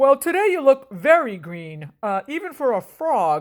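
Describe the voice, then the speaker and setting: A woman puts on a high-pitched character voice, speaking at a moderate pace with very wide swings in pitch. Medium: read story. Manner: hesitant, grumbling.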